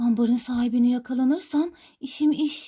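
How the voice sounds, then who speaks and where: A woman uses a put-on character voice, high-pitched and at a moderate pace. Her intonation stays fairly even. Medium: read story.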